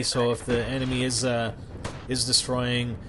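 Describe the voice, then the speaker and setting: A man's voice over noticeable background noise. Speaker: gaming commentator. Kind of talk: gameplay commentary. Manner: fast; halting.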